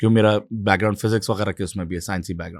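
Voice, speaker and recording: A very clean recording with a silent background captures a man speaking with an Urdu accent. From Pakistan, Karachi. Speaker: climate activist and political candidate. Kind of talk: interview discussion. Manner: hesitant with fillers.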